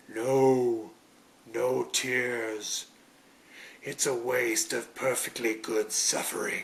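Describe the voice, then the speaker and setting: A put-on character voice moves at a very slow pace. Long pauses come often. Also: man, medium pitch for a man. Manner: menacing, drawn-out.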